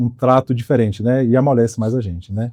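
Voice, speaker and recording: A man speaks at a medium pitch with a dark, mellow tone. His pitch moves in an ordinary way. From Espírito Santo, Brazil. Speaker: accountant. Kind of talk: podcast interview.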